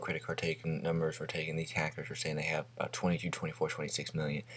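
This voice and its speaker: A man at a very fast pace. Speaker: gaming news vlogger. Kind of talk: casual vlog commentary. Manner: hesitant, many fillers.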